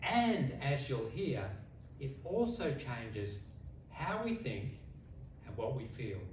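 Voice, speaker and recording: Very slowly, a man in an Australian accent speaks with very wide pitch swings. Room echo is audible, and so is noticeable background noise. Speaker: public speaking contestant. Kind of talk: competition speech. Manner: long pauses; slow, deliberate.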